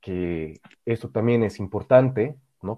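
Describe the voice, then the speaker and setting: Pitched fairly low, a man talks with lively intonation. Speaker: podcast co-host. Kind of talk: casual chat. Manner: halting, repeats words.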